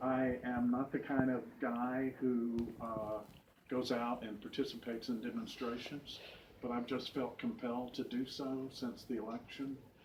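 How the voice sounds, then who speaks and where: Medium-pitched man, flat and monotone, at a fairly slow pace with noticeable background noise. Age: 60s. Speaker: immigration attorney at a protest. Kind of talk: speaking to a senator's staffer. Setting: senator's office. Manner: halting, many fillers.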